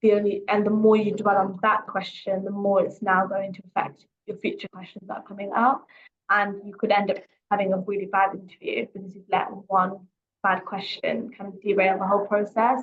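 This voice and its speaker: Somewhat breathy, a woman of medium pitch speaks fairly quickly. Her intonation is monotone and flat, though her loudness swings widely. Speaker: careers coach. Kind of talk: webinar talk. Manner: fast.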